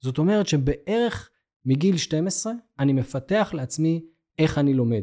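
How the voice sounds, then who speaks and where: Lively intonation runs through a man's dark, mellow tone, in a very clean recording over a silent background. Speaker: learning and development manager. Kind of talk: interview.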